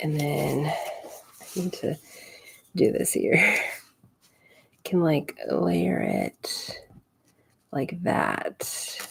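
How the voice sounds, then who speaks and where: A woman mumbles at a very slow pace. Long, frequent pauses break up her speech. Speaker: scrapbooking livestreamer. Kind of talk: live crafting tutorial chat. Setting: home craft desk livestream. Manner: mumbling to herself.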